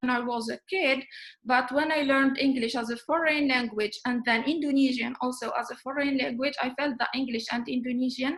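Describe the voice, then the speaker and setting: Speaking at a fairly quick pace, a woman keeps a high pitch and fairly even intonation. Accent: North African. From Algeria. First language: Amazigh. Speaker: webinar speaker, language teacher. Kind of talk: lecture. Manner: halting.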